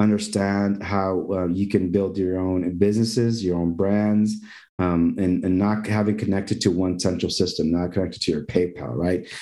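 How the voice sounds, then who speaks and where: A dark, mellow tone with fairly even intonation and very even loudness, hardly any pauses, and audible room echo. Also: man, fairly low pitch for a man, moderate pace. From Mexico. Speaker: event producer. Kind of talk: interview.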